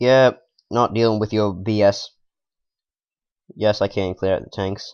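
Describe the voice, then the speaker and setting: A man speaks at a fairly low pitch, his intonation monotone and flat. His loudness swings widely. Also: fairly slow pace. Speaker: gaming video creator. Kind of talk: let's play commentary. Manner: low energy.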